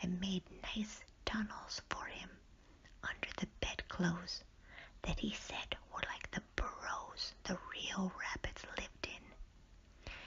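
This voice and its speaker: A woman whispering at a very slow pace, with noticeable background noise. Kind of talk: bedtime story reading. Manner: whispered; soft-spoken, slow.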